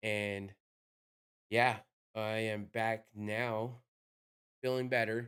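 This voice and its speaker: At a medium pitch, a man talks in a monotone with flat intonation. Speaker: MMA podcast host. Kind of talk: casual podcast monologue. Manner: casual, filler-heavy.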